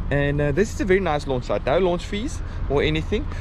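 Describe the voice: A man at a moderate pace, with loud background noise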